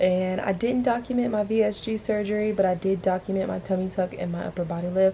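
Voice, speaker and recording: A woman's voice at a fairly quick pace, with fairly even intonation. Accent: Southern US. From US South, Atlanta Georgia. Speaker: vlogger. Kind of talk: casual vlog talk to camera. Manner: quiet, talking low.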